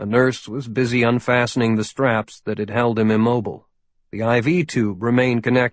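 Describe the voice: The intonation stays fairly even. It is plain reading aloud against a quiet background.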